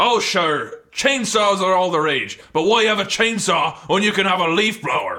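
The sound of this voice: Using a put-on character voice, a man speaks high in pitch with big pitch swings, a bright, sharp tone and a moderate pace.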